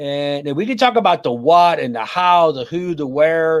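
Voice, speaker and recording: A man with a fairly high voice, speaking at a moderate pace with an American accent. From US, conservative Mennonite community. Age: 60s. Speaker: pastor and life coach. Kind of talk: interview.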